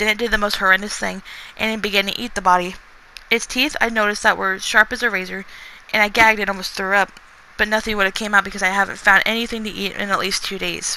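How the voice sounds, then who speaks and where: At a very fast pace, a woman speaks at medium pitch with monotone, flat intonation over noticeable background noise. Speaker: author. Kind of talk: reading aloud; casual chat. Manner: halting.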